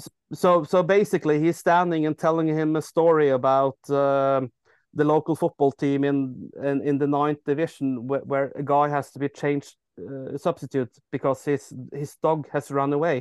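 With a Norwegian accent, the speaker keeps a fairly even intonation over a quiet background, the sound dry and close with no echo. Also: man, fairly high pitch for a man, moderate pace. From Norway, near Oslo. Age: 30s. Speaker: football fan. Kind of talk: casual chat.

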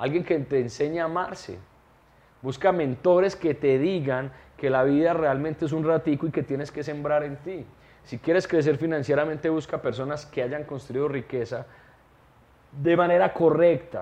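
With a plain, everyday voice, a man speaks at a moderate pace, fairly high in pitch, with ordinary pitch variation. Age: 30s. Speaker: entrepreneur and mentor. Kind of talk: interview.

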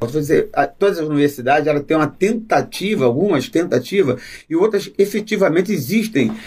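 Lively intonation from a man with a high pitch. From Rio de Janeiro, Alto da Boa Vista. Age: 60s. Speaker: university lab worker and samba composer. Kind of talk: casual interview chat. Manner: halting.

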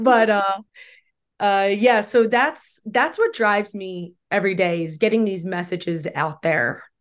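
Pitched at a medium level, a woman with an unremarkable speaking voice talks with ordinary pitch variation. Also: quiet background. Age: 40s. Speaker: film director. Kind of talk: casual chat.

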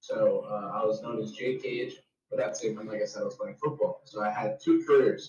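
A man with a New Jersey accent talks at a fairly quick pace. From New Jersey, Jersey Shore. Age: 20s. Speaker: streamer and pro wrestler. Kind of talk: casual chat.

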